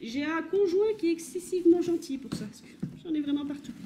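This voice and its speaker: A woman speaks at a moderate pace with ordinary pitch variation, with noticeable background noise behind her. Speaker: vintage fashion YouTuber. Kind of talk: casual unboxing vlog. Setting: home kitchen.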